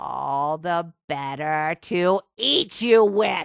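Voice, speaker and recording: Very slow pace in a put-on character voice, pitched in the middle range. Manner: growling, menacing.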